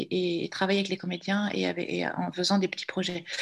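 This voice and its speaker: A somewhat breathy woman at a moderate pace, against a quiet background. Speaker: filmmaker and visual artist. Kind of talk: panel discussion.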